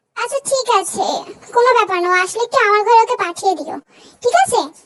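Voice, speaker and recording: A woman does a squeaky put-on character voice at an extremely high pitch. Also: fairly quick pace. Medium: read story. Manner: gentle, indulgent.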